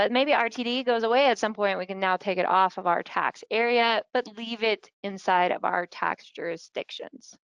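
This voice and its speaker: A woman speaks in a plain, everyday voice at a moderate pace with ordinary pitch variation. The background is quiet, and the sound is dry and close with no echo. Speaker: software consultant / webinar presenter. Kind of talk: webinar tutorial. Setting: online webinar. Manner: casual, conversational.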